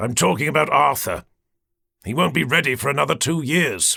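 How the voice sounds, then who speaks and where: On a very clean recording with a silent background, a man does a raspy, put-on character voice at a fairly quick pace. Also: fairly high pitch for a man. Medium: read story. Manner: calm, controlled.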